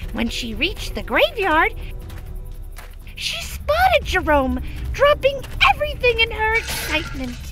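A cartoonish character voice with an extremely high pitch speaks at a moderate pace. Clear background noise can be heard. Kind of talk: children's cartoon narration. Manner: light, storytelling.

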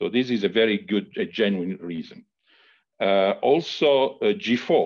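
The speaker is a man. The background is quiet. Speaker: university leader for health and safety. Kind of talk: formal meeting answers. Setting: video call. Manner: halting, many fillers. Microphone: video call.

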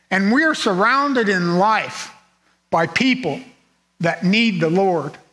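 A man projects a raised, high-pitched voice with lively intonation and very even loudness. He goes at a fairly slow pace, with long, frequent pauses. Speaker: preacher. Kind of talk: sermon; fervent prayer, sincere and pleading. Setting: church. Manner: earnest, measured, reflective; heartfelt, solemn, fervent in prayer. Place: church.

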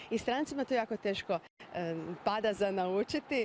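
At a moderate pace, a woman speaks with ordinary pitch variation in a dry sound with no echo over light background noise. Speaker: language expert guest. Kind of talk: TV interview. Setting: TV studio. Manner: formal. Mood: calm, informative. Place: street. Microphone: handheld.

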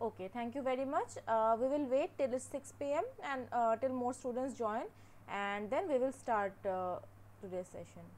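The pace sits at a moderate level. Intonation rises and falls in a lively way. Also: woman, high pitch for a woman. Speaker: teaching assistant hosting an online class. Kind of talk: casual setup talk before a lecture. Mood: patient, slightly unsure. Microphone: webcam.

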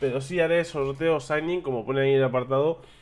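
A man's medium-pitched voice with a slightly mellow tone.

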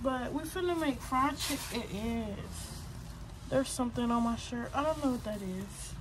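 Noticeable background noise runs behind the recording. A woman talks at a moderate pace. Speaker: lifestyle vlogger. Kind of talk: casual vlog chat. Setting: outdoors and in a grocery store. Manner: animated.

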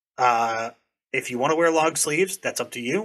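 A man with an American accent and a fairly high pitch talks at a moderate pace, his bright, sharp tone carrying lively intonation over a quiet background. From New Hampshire, US. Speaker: airsoft content creator. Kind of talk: casual chat. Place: home room. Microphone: studio mic.

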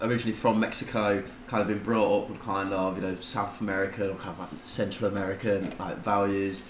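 In a British accent, a man talks fairly quickly at a fairly low pitch with monotone, flat intonation. Light background noise and audible room echo are present. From UK. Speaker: tattoo client; podcast guest. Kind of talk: casual chat. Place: home room.

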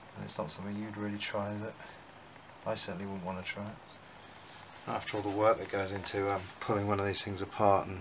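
Over noticeable background noise, a man with a fairly low pitch speaks very fast in a monotone, flat intonation, with long, frequent pauses. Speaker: amateur motorcycle restorer. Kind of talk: casual workshop talk to camera. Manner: hesitant, thinking aloud. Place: workshop. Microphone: camera far.

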